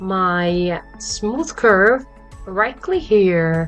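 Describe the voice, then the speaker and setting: With music playing in the background, a woman speaks at a medium pitch using lively intonation. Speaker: 3D fashion design tutor. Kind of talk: software tutorial narration. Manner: hesitant, many fillers.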